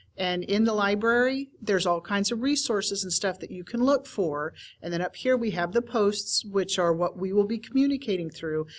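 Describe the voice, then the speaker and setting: A woman speaks at a moderate pace in a plain, everyday voice, her medium pitch showing ordinary variation on a very clean recording with a silent background. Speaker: teacher trainer. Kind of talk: tutorial.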